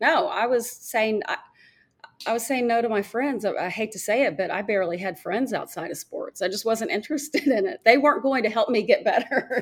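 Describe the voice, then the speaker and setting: With an American accent, a woman talks at a fairly quick pace and fairly high pitch, using a plain, everyday voice. Her intonation is lively. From Arkansas, US South. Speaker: former golf TV reporter. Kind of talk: interview.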